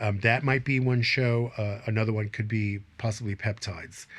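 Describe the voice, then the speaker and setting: A man talks at a fairly quick pace in a somewhat breathy voice. His intonation stays flat and monotone. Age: 60s. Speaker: podcast host, aesthetics practitioner. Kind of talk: podcast wrap-up. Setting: studio. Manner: hesitant, many fillers.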